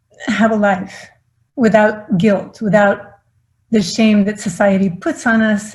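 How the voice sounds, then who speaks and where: Somewhat breathy, a woman speaks at a moderate pace in a fairly high pitch. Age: 60s. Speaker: philanthropist. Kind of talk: acceptance speech.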